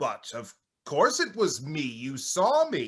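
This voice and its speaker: Putting on a character voice, a man speaks in a high pitch at a fairly slow pace. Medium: audio drama. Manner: insistent, demanding.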